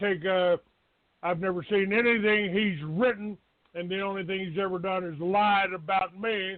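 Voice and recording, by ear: A man speaks in a high voice at a fairly slow pace. His intonation stays fairly even.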